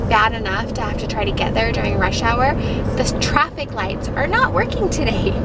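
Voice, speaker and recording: The speech moves at a moderate pace under loud background noise. The sound is dry, with no echo. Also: woman. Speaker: parent vlogger driving. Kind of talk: casual vlog chat. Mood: cheerful, a bit harried. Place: car. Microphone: phone near.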